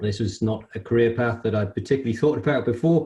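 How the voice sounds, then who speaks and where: Speaking at a fairly quick pace, a man with a British accent sounds dark, mellow, and somewhat breathy. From UK. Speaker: construction industry executive. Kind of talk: interview. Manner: hesitant, many fillers.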